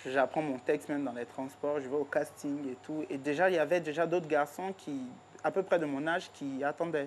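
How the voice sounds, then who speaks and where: This woman's pitch is very deep and low. She keeps a moderate pace and fairly even intonation. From Ivory Coast. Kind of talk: TV interview.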